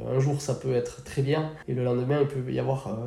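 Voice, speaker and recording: A man talks at a moderate pace in a medium pitch. The room echo is audible. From French Basque Country, Bidart. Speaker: firefighter and sea-trip boat captain. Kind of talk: interview.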